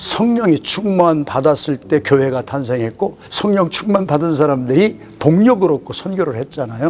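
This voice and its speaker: Over noticeable background noise, a man talks at a moderate pace with hardly any pauses. His pitch is fairly high and his intonation is lively. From South Korea, South Chungcheong. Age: 70s. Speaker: retired pastor and missionary. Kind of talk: interview.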